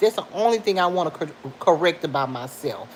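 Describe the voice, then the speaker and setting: Noticeable background noise sits behind a woman's voice. She talks at a fairly quick pace with lively intonation. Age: 50s. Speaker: livestream vlogger. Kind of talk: casual chat with live viewers. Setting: at home. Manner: animated.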